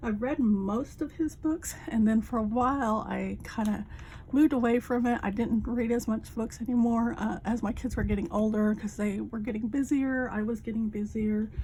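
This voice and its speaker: A woman talks at a moderate pace with hardly any pauses. Her pitch is fairly high and her intonation fairly even. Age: 50s. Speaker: crafting vlogger, retired Air Force veteran. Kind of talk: casual chat. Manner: halting, with many fillers.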